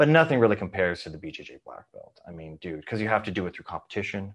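A man's fairly low voice, a normal speaking voice, with lively intonation over a quiet background. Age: 40s. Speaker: martial arts instructor. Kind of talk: casual chat.

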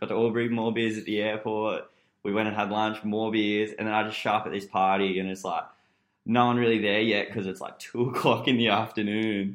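A man with an Australian accent, fairly low pitch, flat monotone intonation and a fairly quick pace. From Newcastle, Australia. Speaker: podcast guest. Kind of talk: casual chat.

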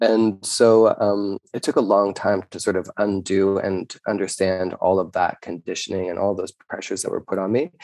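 A man with a Canadian accent speaks in a plain, everyday voice, pitched fairly low, at a moderate pace with hardly any pauses. His intonation is fairly even, and the sound is dry and close with no echo. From Canada. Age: 30s. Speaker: drag performer. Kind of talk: casual chat.

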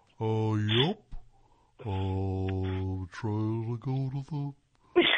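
A put-on character voice, low in pitch, at a very slow pace. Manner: slow, drawling.

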